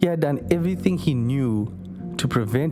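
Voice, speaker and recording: A man at a moderate pace with lively intonation, music playing in the background. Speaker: amateur narrator. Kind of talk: story narration for short film.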